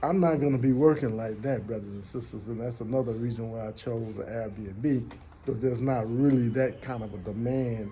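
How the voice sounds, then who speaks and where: An American accent at a moderate pace with ordinary pitch variation and audible room echo. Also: man, medium pitch for a man. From United States. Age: 60s. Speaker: vlogger. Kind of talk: casual personal monologue. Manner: halting.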